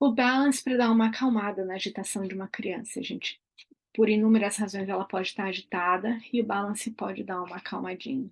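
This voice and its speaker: Against a quiet background, a woman with an ordinary speaking voice of medium pitch talks at a fairly quick pace with fairly even intonation. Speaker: aromatherapy educator. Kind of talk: online class.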